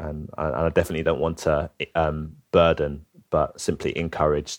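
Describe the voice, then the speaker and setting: In a London accent, a man speaks at a moderate pace with a very deep, low pitch and flat, monotone intonation. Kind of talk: interview. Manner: halting, many fillers.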